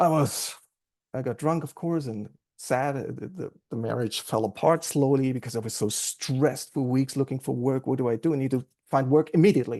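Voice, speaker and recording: The voice has a dark, mellow tone and a German accent, moving at a fairly quick pace. Its pitch varies in an ordinary way over a quiet background. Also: man, medium pitch for a man. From Germany. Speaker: AA meeting speaker. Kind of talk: recovery testimony. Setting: recovery group meeting.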